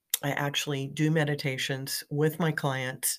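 A woman's very deep, low voice, fairly slow and fairly even in intonation, on a very clean recording with a silent background. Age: 50s. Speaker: podcast host and midlife coach. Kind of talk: casual monologue. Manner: hesitant with fillers.

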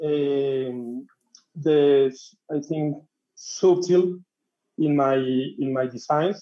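A man with a Spanish accent, fairly high pitch, fairly even intonation and a dark, mellow tone. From Colombia, Bogota. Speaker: tattoo artist. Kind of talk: interview. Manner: halting.

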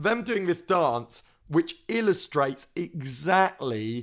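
Speaking at a very slow pace, a man talks in a London accent. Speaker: podcast co-host. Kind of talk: casual chat.

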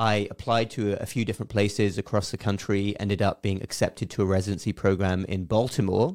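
Speaking very fast with hardly any pauses, a man with an English accent keeps a fairly low pitch and fairly even intonation, in a dry, close sound with no echo on a very clean recording with a silent background. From southeast England, Berkshire. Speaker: physician. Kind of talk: casual chat. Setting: studio.

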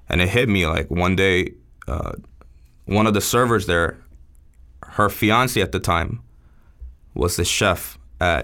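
The bright, sharp voice shows ordinary pitch variation on a very clean recording with a silent background. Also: man. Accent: New York. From New York (Queens, Long Island), born in Seoul, moved at eight. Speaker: chef. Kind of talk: casual interview chat.

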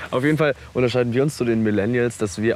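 A man talks in a relaxed tone. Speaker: podcast co-host. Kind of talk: casual chat. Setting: outdoors on a park bench.

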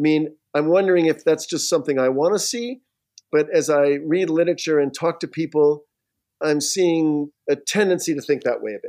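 A man speaks at a moderate pace with a fairly high pitch. His tone is dark and mellow. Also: ordinary pitch variation. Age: 60s. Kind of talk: casual interview chat. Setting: remote video call.

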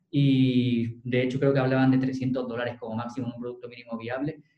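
A man talks at a fairly quick pace in an unremarkable speaking voice at a medium pitch. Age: 20s. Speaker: lawyer. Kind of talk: interview.

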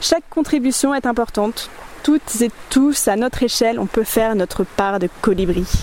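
A woman at a moderate pace with ordinary pitch variation and very even loudness, over noticeable background noise. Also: fairly high pitch for a woman. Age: 30s. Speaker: podcast host. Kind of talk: scripted narration; interview. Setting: outdoors by a river.

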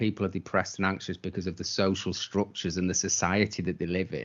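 A man talks at a very fast pace with a British accent. His pitch is fairly low. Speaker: podcast co-host. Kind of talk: casual chat, rant.

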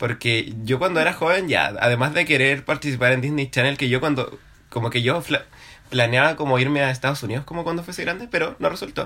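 With a Chilean accent, a man speaks at a fairly quick pace in a fairly high pitch, his tone bright and sharp with ordinary pitch variation. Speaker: podcast co-host. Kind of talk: casual chat.

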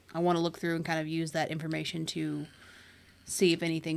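A woman talks with a very deep, low pitch, captured in a very clean recording against a silent background. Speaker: player. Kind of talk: casual tabletop roleplaying game chat.

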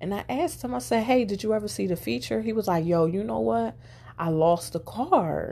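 Animated in tone, a woman speaks fairly quickly at a fairly low pitch with very wide pitch swings. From Philadelphia, US. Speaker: podcast host. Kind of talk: casual storytelling monologue.

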